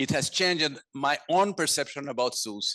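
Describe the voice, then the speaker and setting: A man with a Portuguese accent, fairly high pitch and a bright, sharp tone, at a moderate pace with ordinary pitch variation, over a quiet background. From Brazil, São Paulo. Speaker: conservation director. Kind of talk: lecture. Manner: halting, many fillers.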